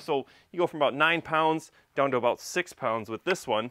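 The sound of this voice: A man's fairly high, fairly bright voice at a moderate pace, with lively intonation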